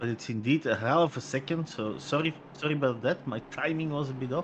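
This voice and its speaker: A man talks at a very fast pace with a Flemish accent. His pitch is fairly high, with ordinary variation. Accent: Flemish Dutch accent in English. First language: Dutch. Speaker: sim racing commentator. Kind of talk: live commentary.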